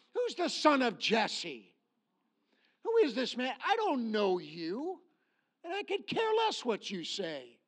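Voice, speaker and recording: At a very slow pace with long, frequent pauses, a man speaks in an extremely high pitch that swings very widely. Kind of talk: sermon. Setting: church. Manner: animated; emphatic, preacher in full flow, rallying the congregation.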